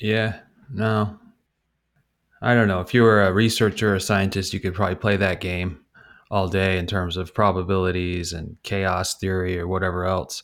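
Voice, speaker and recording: On a very clean recording with a silent background, a man speaks at a moderate pace in a very deep, low pitch with monotone, flat intonation. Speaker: podcast co-host and editor. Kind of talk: casual chat. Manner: sounds condescending.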